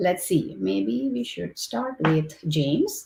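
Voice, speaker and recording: Speaking with a non-native accent, a woman has a somewhat breathy voice at a fairly low pitch. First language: not English. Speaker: engineering director moderating a panel. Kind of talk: webinar panel moderation. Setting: online livestream with chat.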